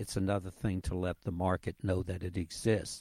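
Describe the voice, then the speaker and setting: A man's very deep, low voice, dark and mellow in tone, somewhat breathy, at a moderate pace, with a dry, close sound and no echo. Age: 80s. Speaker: league CEO and co-founder. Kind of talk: interview answers.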